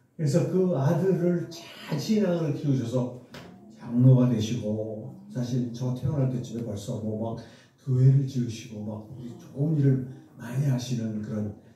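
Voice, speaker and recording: Amid noticeable background noise and audible room echo, a man with a medium-pitched voice speaks at a fairly slow pace, with ordinary pitch variation and big swings in loudness. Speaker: medical professor. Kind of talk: testimony. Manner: conversational.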